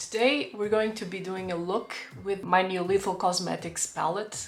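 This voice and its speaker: Fairly slow female speech amid audible room echo. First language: not English. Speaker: beauty vlogger. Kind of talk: makeup tutorial. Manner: halting; casual.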